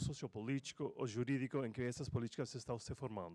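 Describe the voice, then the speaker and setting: A man talks with ordinary pitch variation in a dry, close sound with no echo. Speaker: law professor. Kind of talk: conference presentation. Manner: halting.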